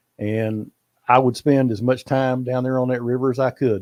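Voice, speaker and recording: In a Texas accent, a man speaks at a medium pitch and fairly quick pace. The sound is dry and close with no echo, over a quiet background. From Texas, Fort Worth. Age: 70s. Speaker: bass angler. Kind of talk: casual interview.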